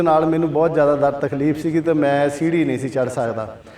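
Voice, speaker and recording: A man with a fairly high voice talks at a moderate pace in a fairly even tone, with noticeable background noise behind him. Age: 60s. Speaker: patient. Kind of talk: testimony.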